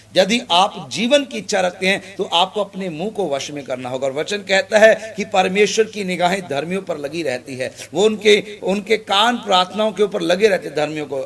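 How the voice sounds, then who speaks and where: Speaking with hardly any pauses, a man with a high pitch uses lively intonation. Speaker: pastor. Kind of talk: sermon preaching to an audience.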